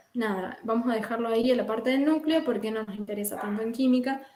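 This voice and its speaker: A woman's fairly high pitch, an ordinary speaking voice, with ordinary pitch variation at a moderate pace. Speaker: chemistry lecturer. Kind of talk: lecture.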